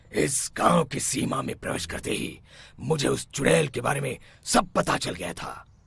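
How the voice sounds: A man puts on a cartoonish character voice, raspy and medium in pitch, at a moderate pace.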